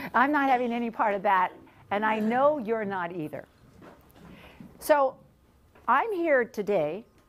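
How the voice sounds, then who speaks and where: A woman with a fairly high pitch moves through very wide pitch swings at a fairly slow pace. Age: 60s. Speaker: keynote speaker. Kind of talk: motivational keynote speech. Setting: stage with audience. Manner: energetic; animated.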